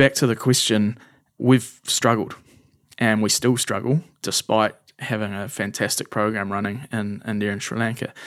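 A man speaks with a New Zealand accent, fairly low in pitch, at a moderate pace. His intonation is fairly even, and the recording is very clean with a silent background. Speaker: charity founder. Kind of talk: interview conversation.

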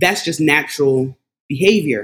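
Lively intonation from a woman with a Philadelphia accent. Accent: Philadelphia American English. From Philadelphia, US. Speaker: behavior analyst. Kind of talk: casual conversation about anti-racism.

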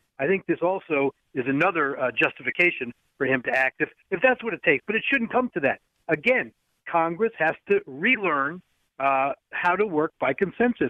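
A man with a high pitch, very wide pitch swings and a moderate pace. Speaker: legal analyst. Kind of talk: radio interview.

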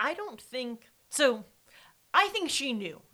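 A woman with an American accent speaks in a high pitch, her voice raised and projected, with very wide pitch swings. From Wisconsin. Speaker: true crime podcast co-host. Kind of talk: casual chat.

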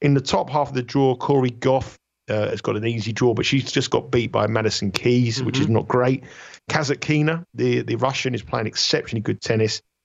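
Speaking at a fairly quick pace with a British accent, a man talks at a medium pitch with fairly even intonation. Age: 50s. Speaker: tennis handicapper. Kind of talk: radio sports betting interview.

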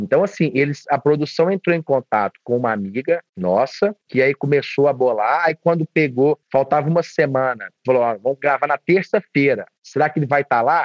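At a moderate pace, a man speaks in a fairly high voice with ordinary pitch variation and very even loudness. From Minas Gerais, Divinópolis. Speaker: baker. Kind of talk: casual chat.

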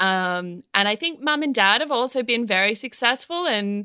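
A woman with an Australian accent speaks at a fairly slow pace and medium pitch, with a bright, sharp tone. The recording is very clean, with a silent background. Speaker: children's band singer. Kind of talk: casual chat.

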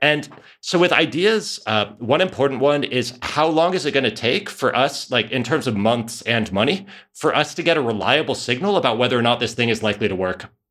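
A man talks at a fairly quick pace with a medium pitch. His intonation is lively. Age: 30s. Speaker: entrepreneur and author. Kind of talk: interview. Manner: halting.

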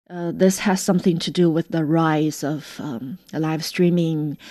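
A woman's fairly low voice with a Chinese accent, very slow pace and fairly even intonation. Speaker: radio reporter. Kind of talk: interview. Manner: halting, many fillers.

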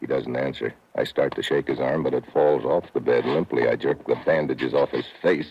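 In a put-on character voice, a man speaks at an extremely low pitch with fairly even intonation and a slightly husky edge. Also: moderate pace.

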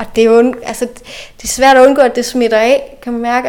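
Speaking at a fairly quick pace, a woman with a fairly high pitch keeps a monotone, flat intonation over noticeable background noise. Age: 30s. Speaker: local politician. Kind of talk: interview. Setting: in person, same room.

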